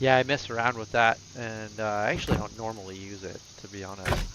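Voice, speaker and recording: Someone with an American accent speaks very fast in a flat monotone, with noticeable background noise behind them. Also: man. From US Northeast, Boston. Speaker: gaming streamer. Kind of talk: casual chat.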